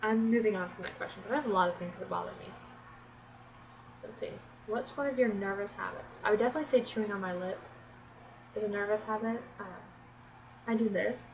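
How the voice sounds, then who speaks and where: The speaker, with an American accent, talks at a very fast pace broken by long, frequent pauses, with big swings in loudness, ordinary pitch variation, audible room echo, and noticeable background noise. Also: woman, fairly high pitch for a woman. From Florida, US South. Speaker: beauty vlogger. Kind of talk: casual vlog tag video. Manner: animated.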